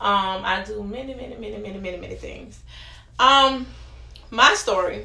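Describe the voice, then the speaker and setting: A woman with an American accent speaks at a moderate pace in a fairly high, bright, sharp voice with vocal fry, ordinary pitch variation and big swings in loudness. Her long, frequent pauses carry over audible room echo. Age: young. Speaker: podcast guest sharing personal story. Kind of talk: testimony.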